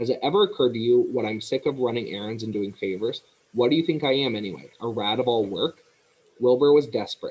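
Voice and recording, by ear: A natural voice reads aloud. Its intonation is lively.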